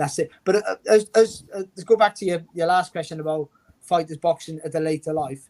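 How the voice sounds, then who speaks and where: In a dry, close sound with no echo, a man with a Welsh accent speaks at a fairly quick pace and a fairly high pitch, with ordinary pitch variation. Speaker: former boxer and boxing pundit. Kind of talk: interview. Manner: fast; animated.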